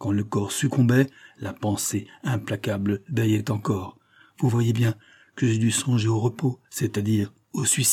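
The clip is plain reading aloud. Nothing more is added to the reading.

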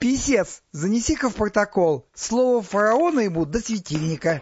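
Doing a put-on character voice, a man speaks at a moderate pace in a high pitch, with a slightly husky edge and big pitch swings.

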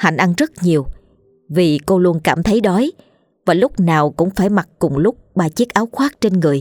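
What you hear is an unforced reading voice.

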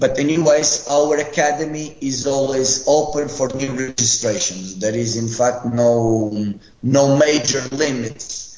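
A man with a Portuguese accent at medium pitch, ordinary pitch variation, a fairly slow pace with hardly any pauses, noticeable background noise and audible room echo. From Portugal, Madeira (Funchal). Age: 20s. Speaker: football academy head coach. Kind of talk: interview.

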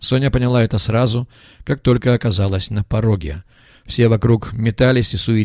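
The words come in a natural reading voice.

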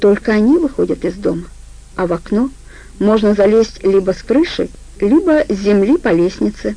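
Lively intonation throughout, reading aloud in a natural voice

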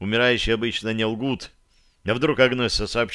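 Intonation stays fairly even as someone reads aloud in a natural voice.

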